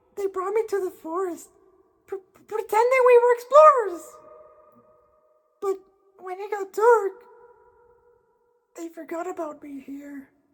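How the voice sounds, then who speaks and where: Someone uses a put-on character voice at an extremely high pitch. Long, frequent pauses break up the speech. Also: moderate pace. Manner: timid, hesitant.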